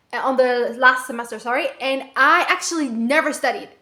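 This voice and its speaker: A woman with a non-native accent, high-pitched, with ordinary pitch variation and a fairly quick pace. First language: not English. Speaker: vlogger, aspiring entrepreneur. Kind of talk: casual vlog monologue. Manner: animated; rambling with fillers.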